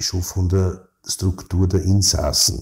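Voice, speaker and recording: In a Viennese accent, a man speaks with a dark, mellow tone and somewhat breathy voice, on a very clean recording with a silent background. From Vienna, Austria (16th district, working-class). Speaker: criminal defence lawyer. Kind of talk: interview. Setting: his law office.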